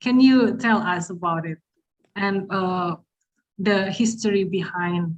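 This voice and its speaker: Somewhat breathy speech with a non-native accent moves at a very slow pace, with ordinary pitch variation. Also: woman. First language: not English. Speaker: festival moderator. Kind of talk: panel interview. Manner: halting.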